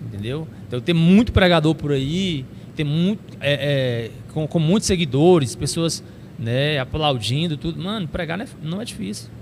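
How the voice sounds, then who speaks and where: Noticeable background noise behind a man's fairly high voice with lively intonation. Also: moderate pace. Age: 30s. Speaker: preacher and youth pastor. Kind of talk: casual chat.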